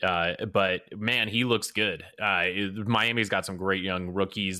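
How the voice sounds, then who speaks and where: Speaking at a moderate pace with an American accent, a man has a fairly low pitch and a bright, sharp tone on a very clean recording with a silent background. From US Midwest. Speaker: fantasy basketball analyst. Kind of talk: casual chat.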